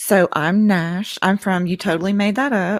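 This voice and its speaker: In a Southern US accent, a woman speaks fairly slowly at a medium pitch, the recording very clean with a silent background and a dry, close sound with no echo. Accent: good Southern. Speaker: podcaster guest. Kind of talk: casual chat.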